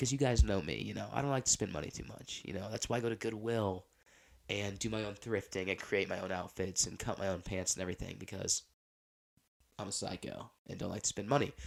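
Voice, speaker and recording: This man talks at a very fast pace. His fairly low voice has vocal fry. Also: ordinary pitch variation. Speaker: podcast host. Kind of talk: casual chat. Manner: rambling, filler-heavy.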